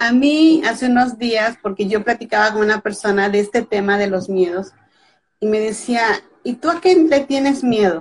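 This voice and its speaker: A woman's voice, somewhat breathy, sits at a fairly high pitch. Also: lively intonation, moderate pace. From Mexico (Veracruz). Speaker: author. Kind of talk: casual interview.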